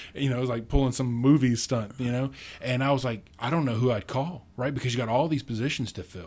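In an American accent, the speaker talks at a very fast pace. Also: man, medium pitch for a man. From rural central Kentucky. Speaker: libertarian activist, university program director. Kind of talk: casual interview chat. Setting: studio. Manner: animated.

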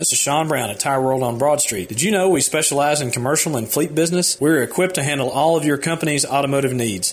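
A man with a Southern US accent talks at a fairly quick pace with ordinary pitch variation. Noticeable background noise runs underneath. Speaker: police captain. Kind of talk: radio interview. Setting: studio.

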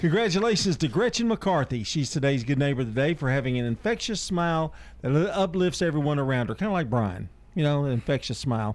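Very fast and with very wide pitch swings, a man speaks at a fairly high pitch and very even loudness. The recording is very clean, with a silent background. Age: 60s. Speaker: radio host. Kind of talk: casual chat. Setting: studio.

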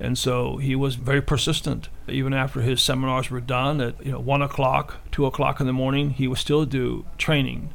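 Audible room echo colors the voice of a man who speaks at a moderate pace. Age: 60s. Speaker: martial arts instructor. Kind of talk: radio interview.

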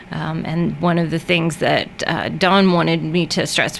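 Noticeable background noise runs behind a woman's voice. Her pitch is fairly low and her intonation is monotone and flat. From Middle Tennessee, Murfreesboro. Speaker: veterinarian. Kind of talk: radio interview.

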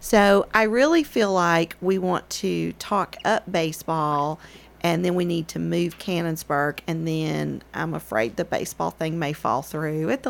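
With a Tennessee accent, a woman speaks at a fairly slow pace. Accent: US Southern (Tennessee). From Murfreesboro, Tennessee. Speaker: local historic preservation advocate. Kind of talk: casual chat.

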